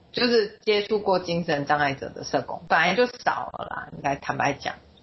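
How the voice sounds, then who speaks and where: The voice is somewhat breathy, and its intonation is lively. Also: woman. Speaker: social worker. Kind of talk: interview.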